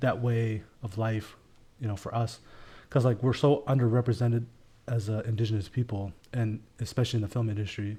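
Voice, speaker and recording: A man's medium-pitched, dark, mellow, somewhat breathy voice at a fairly quick pace with fairly even intonation. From Elsipogtog First Nation, New Brunswick, Canada. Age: 20s. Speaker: filmmaker. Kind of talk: podcast interview. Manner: casual, filler-heavy.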